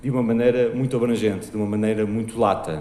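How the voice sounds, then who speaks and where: Speaking at a fairly quick pace amid audible room echo, a man uses a medium pitch and a dark, mellow tone. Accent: European Portuguese. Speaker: marketing director. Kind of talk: conference talk. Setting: stage with audience. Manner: fast.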